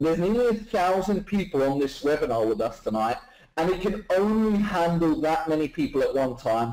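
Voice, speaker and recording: A man with a British accent talks at a fairly quick pace, his high pitch making very wide swings. His loudness stays very even, with noticeable background noise around him. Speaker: webinar presenter, online marketer. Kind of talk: live webinar sales presentation. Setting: live online webinar. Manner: fast; animated.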